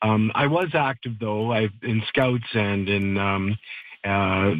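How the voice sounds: A man talks slowly at a fairly low pitch. His intonation stays fairly even.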